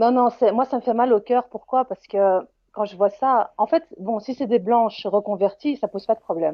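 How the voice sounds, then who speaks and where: This woman talks at a moderate pace, her fairly high pitch rising and falling in an ordinary way. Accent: Belgian. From Belgium. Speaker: caller. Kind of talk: heated debate. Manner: halting.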